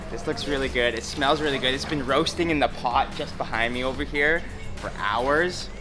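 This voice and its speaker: Clear music sounds in the background while a man speaks at a moderate pace with fairly even intonation. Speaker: food vlogger. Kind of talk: casual vlog chat. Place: market.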